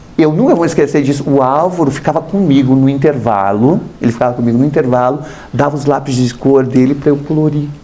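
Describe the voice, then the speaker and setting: A man with a southern Brazilian accent talks at a fairly quick pace and a fairly high pitch. Noticeable background noise runs behind him. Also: ordinary pitch variation. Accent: gaúcho-tinged southern Brazilian. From southern Brazil, Paraná. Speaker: artist, former model. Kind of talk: TV interview. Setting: TV studio. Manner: conversational, hesitant fillers.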